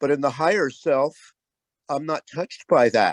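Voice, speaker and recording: The sound is dry and close with no echo as a man speaks at a fairly high pitch with fairly even intonation. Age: 60s. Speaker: social worker, group participant. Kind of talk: casual sharing in group. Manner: halting.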